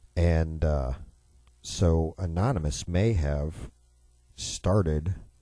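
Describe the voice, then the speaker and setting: A man with an American accent speaks in a very deep, low pitch, somewhat breathy and dark, mellow in tone. His pitch varies in an ordinary way. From US Midwest, Chicago. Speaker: radio talk show host. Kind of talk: political talk radio monologue. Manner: sarcastic.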